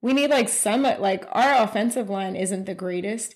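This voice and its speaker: Over a very clean recording with a silent background, a woman with an unremarkable speaking voice talks at a moderate pace, with a fairly high pitch and lively intonation. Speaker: podcast co-host. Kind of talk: casual chat.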